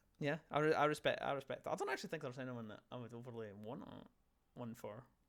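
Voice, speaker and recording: A man speaks with a Scottish accent. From Scotland. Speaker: gaming podcast host. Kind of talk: casual chat. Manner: halting, many fillers and restarts.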